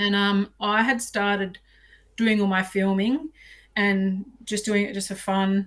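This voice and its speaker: Speaking with an Australian accent, a woman holds a medium pitch and fairly even intonation. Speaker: outdoor filmmaker and bow hunter. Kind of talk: podcast interview. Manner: loud; chatty.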